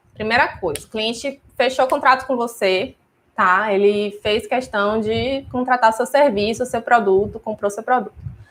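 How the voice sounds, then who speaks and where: A woman with an ordinary speaking voice talks at a fairly slow pace. Her fairly high pitch has ordinary variation. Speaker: wedding stationery business owner and teacher. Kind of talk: live stream class. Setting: live stream on YouTube and Instagram.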